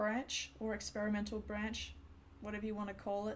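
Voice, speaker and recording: A woman speaks with an Australian accent at a fairly high pitch. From Australia, New South Wales. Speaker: game developer streamer. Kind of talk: live stream chat. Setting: at home computer, live stream. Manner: animated.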